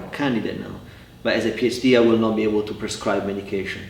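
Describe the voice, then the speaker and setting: Speech with an Italian accent and ordinary pitch variation comes through audible room echo and noticeable background noise. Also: man. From Italy, Cremona (north, near Milan). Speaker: family therapist. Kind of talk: interview. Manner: halting, many repetitions.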